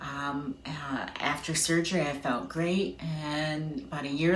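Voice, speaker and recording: A woman speaks with a very deep, low pitch and fairly even intonation. Noticeable background noise and audible room echo fill the recording. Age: 50s. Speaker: patient sharing her story. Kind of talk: testimony.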